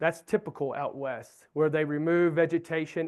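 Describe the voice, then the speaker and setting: At a moderate pace, a man with a Southern US accent and a high pitch speaks against a quiet background. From US Southeast. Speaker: wildlife researcher. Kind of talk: lecture.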